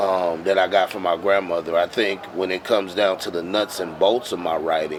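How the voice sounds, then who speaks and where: A man speaks with a very deep, low pitch and fairly even intonation. Noticeable background noise runs under him. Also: moderate pace, hardly any pauses. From Milwaukee, Wisconsin. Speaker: poet and slam poetry performer. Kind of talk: interview answer. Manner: bold, full of conviction.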